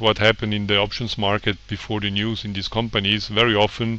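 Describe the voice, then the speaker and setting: Flat, monotone intonation marks a man with a fairly low pitch and a non-native accent. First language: not English. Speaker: trader and website owner. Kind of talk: tutorial presentation. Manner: informal, hesitant with fillers.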